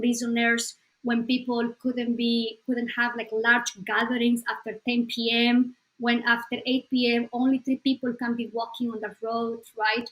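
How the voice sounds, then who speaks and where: A woman talks with a Spanish accent, barely pausing at all. Her intonation is monotone and flat. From Bolivia. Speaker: psychologist. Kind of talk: interview.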